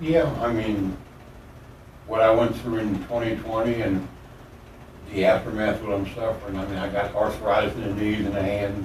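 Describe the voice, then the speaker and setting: Noticeable background noise and audible room echo surround a man with a fairly low pitch. He talks at a moderate pace with fairly even intonation and long, frequent pauses. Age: 70s. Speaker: convicted murder suspect. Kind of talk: police interrogation.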